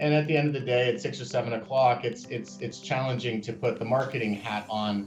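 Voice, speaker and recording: A fairly quick pace in an American accent, with music in the background. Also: man. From US Northeast (small town in Maine). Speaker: company founder. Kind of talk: interview testimonial. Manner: hesitant, many fillers and repetitions.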